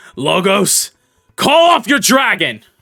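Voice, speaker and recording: Here a man performs a put-on character voice. The pitch sits high. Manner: commanding, forceful.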